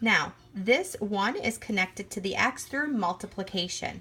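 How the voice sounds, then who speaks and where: Using lively intonation, a woman speaks at a fairly slow pace at medium pitch in a bright, sharp tone. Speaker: math teacher. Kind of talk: tutorial.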